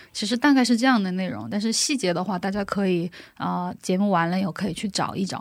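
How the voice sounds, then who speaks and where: Lively in intonation, a woman's speech runs at a very fast pace. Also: medium pitch for a woman. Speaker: gospel singer and worship leader. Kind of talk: interview testimony.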